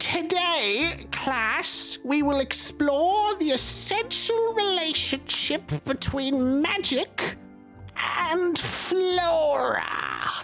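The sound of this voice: Clear music plays behind a man using a put-on character voice. He speaks very slowly at an extremely high pitch.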